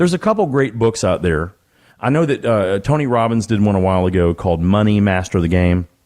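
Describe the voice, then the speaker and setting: A man talks at a very fast pace in a fairly low pitch with lively intonation and very even loudness, on a very clean recording with a silent background. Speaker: financial advisor and radio host. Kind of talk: radio show conversation.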